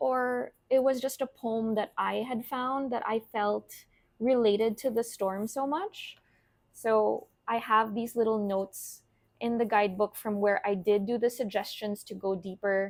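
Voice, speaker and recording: An ordinary speaking voice from a woman, fairly high in pitch and fairly slow, in a very clean recording with a silent background. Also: fairly even intonation. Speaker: tarot and oracle card reader, content creator. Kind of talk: casual show and tell of card decks.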